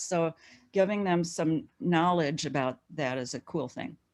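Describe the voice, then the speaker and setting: A woman speaks in a normal speaking voice at a fairly low pitch. Her intonation is lively against a quiet background. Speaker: learning expert, webinar presenter. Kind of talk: webinar presentation.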